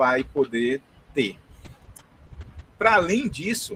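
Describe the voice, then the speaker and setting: A man is speaking. His intonation is lively. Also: dry, close sound with no echo. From northern Brazil, Belém, Pará. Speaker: university professor. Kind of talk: lecture. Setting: video call. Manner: fast.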